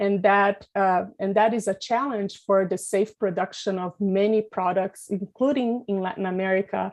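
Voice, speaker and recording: Against a quiet background, a woman with an unremarkable speaking voice and medium pitch talks at a moderate pace with fairly even intonation and hardly any pauses. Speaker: pesticide regulation expert. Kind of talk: webinar presentation.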